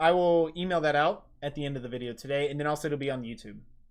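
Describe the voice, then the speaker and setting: Here a man speaks at a very fast pace in a fairly high pitch. His pitch varies in an ordinary way, and the background is quiet. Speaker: IT trainer running an online course platform. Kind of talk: live stream tutorial and Q&A. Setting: live stream. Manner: casual, many fillers.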